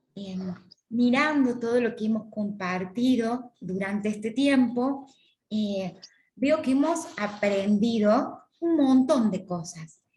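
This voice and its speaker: A woman speaks very slowly with a Córdoba Argentine accent. Her fairly high voice has a dark, mellow tone, is somewhat breathy and has lively intonation. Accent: Córdoba Argentine Spanish, sing-song. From Argentina, Córdoba. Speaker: course lecturer on church ministries. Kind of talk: lecture.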